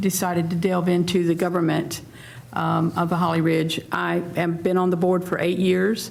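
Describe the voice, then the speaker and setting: A woman with an American accent at a medium pitch, with audible room echo and noticeable background noise. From US South, North Carolina. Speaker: restaurant owner, town council member. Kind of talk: candidate forum opening statement.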